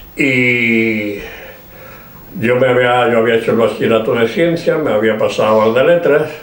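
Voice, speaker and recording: With audible room echo and noticeable background noise, a man talks at a fairly slow pace, his loudness very even and his pitch variation ordinary. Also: medium pitch for a man. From Spain, Granada (Andalusia). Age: 80s+. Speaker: poet. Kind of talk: interview at a literary event. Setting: bookstore event with audience. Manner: halting, with many fillers.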